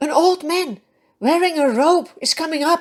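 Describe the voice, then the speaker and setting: The speaker uses a put-on character voice. It sounds squeaky. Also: female-sounding voice, extremely high pitch for a woman, moderate pace. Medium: read story. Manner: fearful.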